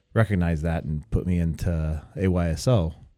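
A man speaks with a very deep, low pitch and a dark, mellow tone. The recording is very clean, its background silent. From Argentina (Rosario), moved to Southern California at ten. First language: Spanish. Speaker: college soccer coach. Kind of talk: interview. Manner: halting, frequent repetitions.

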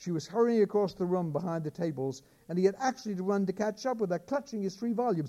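Here is an unforced reading voice. It carries the whole clip.

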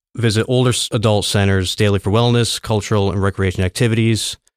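A man with a plain, everyday voice speaks at a fairly quick pace, his fairly low pitch held in fairly even intonation, on a very clean recording with a silent background. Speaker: city agency director. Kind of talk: interview.

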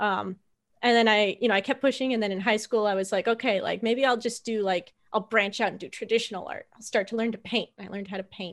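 A woman speaks very fast at a fairly high pitch, with fairly even intonation but big swings in loudness, on a very clean recording with a silent background. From western Canada. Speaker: game artist and designer. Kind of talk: casual interview chat. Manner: warm, friendly, chatty.

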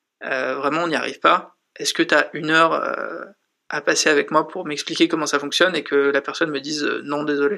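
This man talks at a fairly quick pace with a fairly high pitch, a bright, sharp tone and monotone, flat intonation. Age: 20s. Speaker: startup school dean. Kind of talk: interview.

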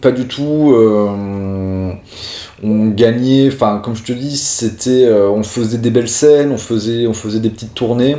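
Audible room echo and noticeable background noise surround the voice. It moves at a fairly slow pace with fairly even intonation. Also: man, medium pitch for a man. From Corsica (Ajaccio). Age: 20s. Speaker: professional bassist. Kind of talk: interview. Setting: studio. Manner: halting.

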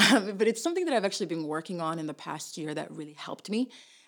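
An animated woman at medium pitch and a very fast pace, on a very clean recording with a silent background. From Nashville, Tennessee (born in Somalia, moved at nine). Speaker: nonprofit immigration advocate. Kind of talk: casual interview. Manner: animated, laughs often.

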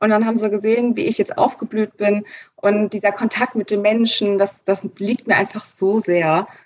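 A plain, everyday voice at a moderate pace, with very even loudness and fairly even intonation. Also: woman, fairly high pitch for a woman. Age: 20s. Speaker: store manager. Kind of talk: interview.

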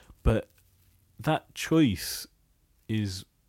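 A man's fairly low voice with lively intonation, on a very clean recording with a silent background. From Bangladesh. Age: 30s. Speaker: podcast host. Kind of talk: casual chat.

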